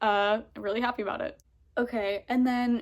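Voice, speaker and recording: On a very clean recording with a silent background, a woman speaks at a fairly high pitch. She has a normal speaking voice with fairly even intonation. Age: 20s. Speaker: vlogger. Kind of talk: casual chat. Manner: casual, many fillers.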